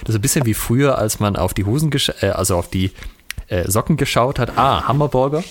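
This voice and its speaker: A man uses lively intonation while noticeable noise fills the background. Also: medium pitch for a man, fairly quick pace, very even loudness. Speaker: podcast co-host on historical fencing. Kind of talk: casual chat over video call.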